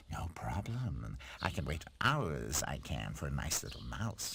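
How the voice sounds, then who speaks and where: A man performs a cartoonish character voice. It moves at a fairly slow pace with a very deep, low pitch. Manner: smug, teasing.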